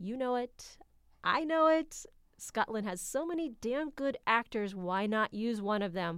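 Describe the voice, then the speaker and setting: On a very clean recording with a silent background, a woman with an American accent speaks at a fairly slow pace in a high pitch with lively intonation. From United States. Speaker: podcast host, film reviewer. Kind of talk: casual chat. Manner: animated.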